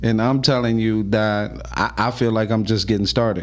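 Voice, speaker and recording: A man talks at a fairly slow pace with medium pitch and fairly even intonation. Audible room echo and noticeable background noise surround him. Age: 50s. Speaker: podcast host. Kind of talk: casual chat.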